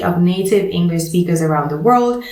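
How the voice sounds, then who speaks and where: A speaker with ordinary pitch variation talks over noticeable background noise. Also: woman. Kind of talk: clear, deliberate for non-native listeners.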